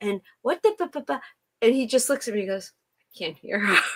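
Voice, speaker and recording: The speaker uses a normal speaking voice with an American accent. The intonation is lively. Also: woman. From US Midwest, Detroit. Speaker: livestream host. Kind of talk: casual chat. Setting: live stream.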